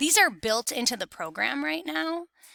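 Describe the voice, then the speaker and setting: Over a very clean recording with a silent background and a dry, close sound with no echo, a woman with a bright, sharp tone and vocal fry makes very wide pitch swings. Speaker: middle school teacher. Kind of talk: recorded lesson tutorial.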